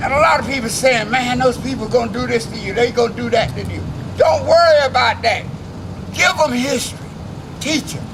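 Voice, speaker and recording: Noticeable background noise surrounds the recording. A man talks at a fairly quick pace. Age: 70s. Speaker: civil rights veteran. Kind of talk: protest speech. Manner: rousing.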